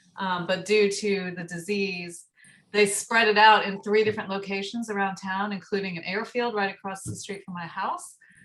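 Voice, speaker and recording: In an American accent, a woman speaks with monotone, flat intonation and big swings in loudness. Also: medium pitch for a woman, moderate pace. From US South, Marietta, Georgia. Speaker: community radio station member. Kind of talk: casual chat.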